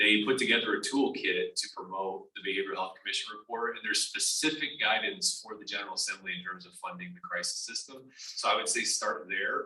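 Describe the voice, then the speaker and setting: The voice moves at a fairly quick pace, with big swings in loudness and noticeable background noise. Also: man. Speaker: state suicide prevention official. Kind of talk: panel discussion. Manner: halting, self-correcting.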